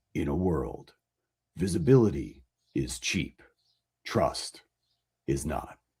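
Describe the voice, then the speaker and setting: A man's put-on character voice, raspy and very deep, low in pitch, with a dramatic tone, lively intonation, a fairly slow pace and long, frequent pauses. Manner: dramatic, announcer-like.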